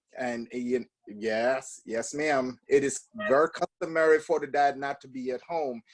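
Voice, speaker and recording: A strong Jamaican accent at a moderate pace, with fairly even intonation and a dry, close sound with no echo. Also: man, fairly high pitch for a man. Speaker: podcast guest. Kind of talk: casual interview.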